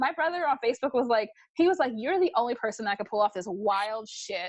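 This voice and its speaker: Loud and animated, a woman with an American accent speaks very fast at a fairly high pitch, her voice swinging very widely up and down. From New York, Brooklyn. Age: 30s. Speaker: reality TV personality and model. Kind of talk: casual chat. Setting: video call.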